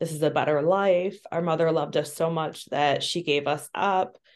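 A woman speaks at a fairly low pitch with monotone, flat intonation. The background is quiet. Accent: Midwestern American. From US Midwest. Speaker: social worker and adoption trauma trainer. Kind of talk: interview conversation.

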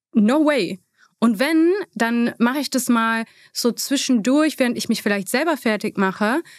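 A woman speaks at a fairly slow pace with a high pitch and ordinary pitch variation. The recording is very clean with a silent background, the sound dry and close with no echo. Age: 30s. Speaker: beauty influencer. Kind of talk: interview.

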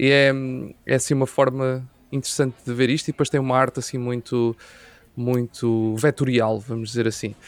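A man at medium pitch talks in a monotone with flat intonation. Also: moderate pace. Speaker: podcast host. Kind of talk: interview.

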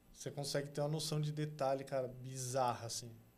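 With a São Paulo accent, this somewhat breathy voice moves at a fairly quick pace in a flat monotone, with audible room echo. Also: man. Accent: Paulistano Brazilian Portuguese. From São Paulo, Brazil (South Zone). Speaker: art agency co-founder. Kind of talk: casual interview chat.

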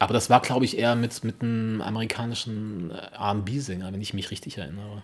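Here a man talks at a fairly quick pace in a fairly low pitch. He has a plain, everyday voice with fairly even intonation. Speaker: podcast co-host. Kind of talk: casual chat.

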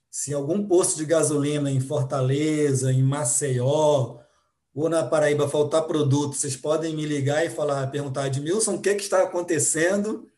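Speaking at a moderate pace, a man has a somewhat breathy, dark, mellow tone at a fairly high pitch with ordinary pitch variation. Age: 40s. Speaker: supply analyst. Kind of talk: podcast panel discussion.

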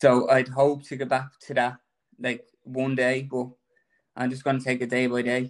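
With an Irish accent, a shaky man talks at a moderate pace in a monotone, flat delivery broken by long, frequent pauses. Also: medium pitch for a man. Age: 30s. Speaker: cancer patient. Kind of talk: testimony.

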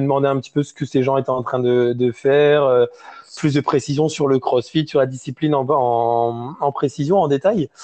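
A man talks at a moderate pace in a fairly high pitch. His intonation stays fairly even. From France, small village (region named in line 26). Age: 20s. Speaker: CrossFit coach. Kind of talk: interview. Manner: halting, many repetitions and fillers.

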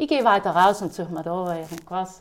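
A woman with lively intonation talks at a moderate pace in a normal speaking voice. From South Tyrol, Ulten valley. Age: 30s. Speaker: innkeeper and horse breeder. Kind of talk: casual interview. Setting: at her inn.

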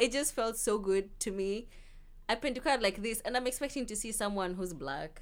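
A woman with a Kenyan accent speaks at a moderate pace with lively intonation. The recording is very clean, with a silent background. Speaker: university student. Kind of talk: casual chat. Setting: studio.

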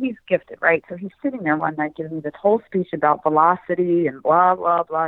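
With a Philadelphia accent, a woman speaks at a very fast pace and a fairly low pitch. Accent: Philadelphia American. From Philadelphia, US. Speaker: rare eye disease advocate and author. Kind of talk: interview.

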